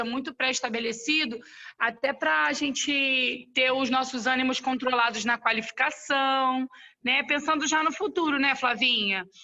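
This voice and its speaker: A woman's high pitch at a moderate pace, with ordinary pitch variation. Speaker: sales team leader. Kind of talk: online training discussion.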